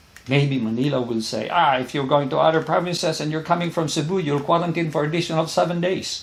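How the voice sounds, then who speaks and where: Audible room echo surrounds a man talking at a very fast pace with hardly any pauses. His voice is fairly high, with ordinary pitch variation. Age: 70s. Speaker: vlogger. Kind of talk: casual vlog commentary.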